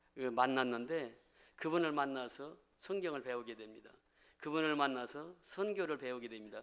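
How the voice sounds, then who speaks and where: A man talks at a moderate pace in a normal speaking voice, with medium pitch and ordinary pitch variation. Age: 60s. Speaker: pastor. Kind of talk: testimony.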